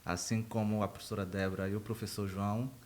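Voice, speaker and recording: Spoken with a northeastern Brazilian accent, the voice keeps a moderate pace and a monotone, flat intonation. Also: man. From Brazil, Rio Grande do Norte (northeast), small interior town. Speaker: university professor of animal science. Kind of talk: podcast interview.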